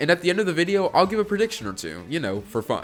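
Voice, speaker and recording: A man's voice swings very widely in pitch while music plays in the background. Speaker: gaming video essayist. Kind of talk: video essay narration.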